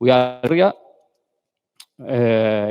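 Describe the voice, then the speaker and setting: A man's medium-pitched voice with an Italian accent. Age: 40s. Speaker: architect. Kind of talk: conference talk. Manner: halting, many fillers.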